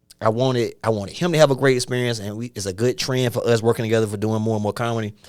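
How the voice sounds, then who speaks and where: This man has a strong Atlanta accent and a medium pitch. He talks at a very fast pace in an animated tone. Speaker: stand-up comedian. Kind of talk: casual chat.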